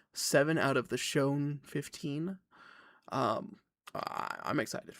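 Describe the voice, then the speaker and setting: Putting on a raspy character voice, a man talks at a fairly slow pace with a fairly high pitch. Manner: flat tone.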